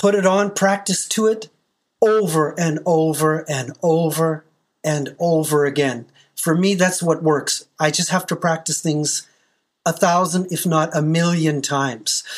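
On a very clean recording with a silent background, the words unfold very slowly. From Canada. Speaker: professional metal drummer. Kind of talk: interview.

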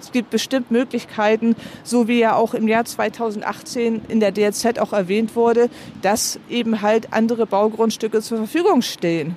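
A woman speaks in a fairly high pitch. Noticeable background noise runs behind her. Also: fairly even intonation. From Heide, Schleswig-Holstein, northern Germany. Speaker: citizen initiative organizer. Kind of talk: interview.

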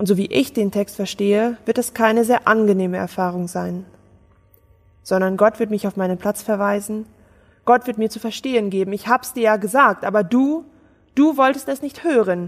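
A woman talks with a fairly high pitch, ordinary pitch variation and a moderate pace. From Germany. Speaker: theologian, pastor candidate. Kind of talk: sermon; interview. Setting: Skype call.

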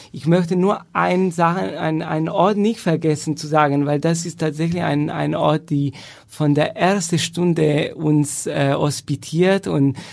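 This man's voice sits at a fairly high pitch. He speaks at a fairly slow pace with ordinary pitch variation. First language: Italian (speaking German). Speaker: professional chamber musician. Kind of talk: casual interview.

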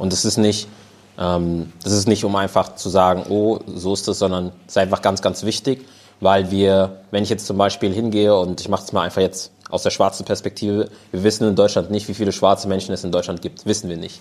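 On a very clean recording with a silent background, a man speaks at a fairly low pitch. His delivery is fairly quick, with monotone, flat intonation. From Germany. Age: 20s. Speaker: panel guest. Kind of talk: live panel discussion. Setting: stage with audience.

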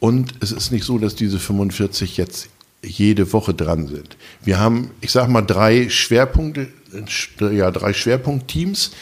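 A man with a fairly low voice speaks very slowly, his pitch varying in an ordinary way. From northern Germany, Lower Saxony. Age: 60s. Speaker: food bank volunteer leader, retired soldier. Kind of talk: casual interview. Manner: hesitant, many filler sounds.

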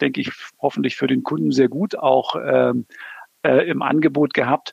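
The man's voice sounds dry and close, with no echo at all. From Berlin. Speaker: automotive project manager. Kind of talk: interview. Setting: remote call.

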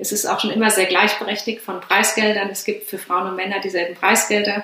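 Noticeable background noise and audible room echo surround a woman as she speaks. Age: 30s. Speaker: former pro triathlete and coach. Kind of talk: interview.

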